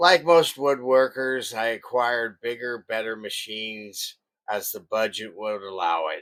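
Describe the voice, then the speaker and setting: With a normal speaking voice, a man at medium pitch talks at a fairly slow pace, his pitch varying in an ordinary way and his loudness swinging a lot. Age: 60s. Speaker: woodworking shop owner. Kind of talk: scripted narration.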